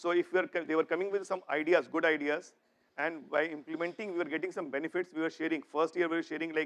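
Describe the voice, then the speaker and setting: Here a man talks at a very fast pace with a high pitch and fairly even intonation. The sound is dry and close, with no echo. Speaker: corporate executive, keynote speaker. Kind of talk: conference keynote.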